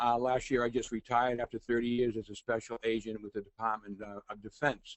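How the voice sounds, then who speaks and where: Monotone, flat delivery with a Boston accent at a moderate pace. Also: man. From Boston, Massachusetts. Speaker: forensic consultant and adjunct professor, webinar host. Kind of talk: webinar presentation. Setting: online webinar. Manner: hesitant, many fillers.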